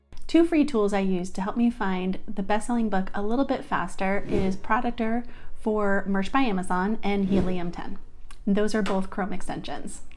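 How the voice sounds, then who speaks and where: There's audible room echo as a woman speaks at a moderate pace. Her pitch varies in an ordinary way. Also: medium pitch for a woman. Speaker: online business tutorial creator. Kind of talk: tutorial.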